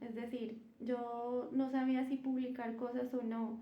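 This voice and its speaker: A soft-spoken woman talks in a room with audible echo. Her pitch is high, her tone dark and mellow. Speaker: spiritual content creator. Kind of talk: live stream talk. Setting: livestream. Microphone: no microphone used.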